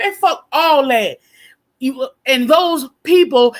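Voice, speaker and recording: Loud, with very wide pitch swings, a woman speaks. Her pace is very slow. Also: very clean recording, silent background. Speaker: live stream panel host. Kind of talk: casual panel chat.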